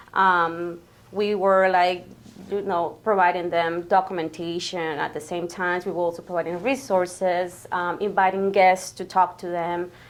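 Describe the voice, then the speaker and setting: A woman speaks in a Spanish accent at a moderate pace. Her intonation is monotone and flat, her pitch fairly low. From Guatemala. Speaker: grant coordinator. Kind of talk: interview. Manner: hesitant, many fillers.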